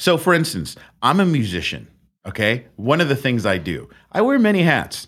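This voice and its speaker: A fairly high-pitched man speaks at a moderate pace with vocal fry and very wide pitch swings. The recording is very clean, with a silent background. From Netherlands. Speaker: musician and immigrant guest. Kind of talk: casual chat. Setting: studio.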